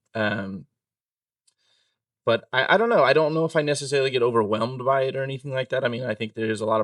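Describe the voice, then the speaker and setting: A man at a very fast pace, fairly even in intonation, dry and close with no echo. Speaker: insurance broker, former server. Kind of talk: casual interview. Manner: monotone.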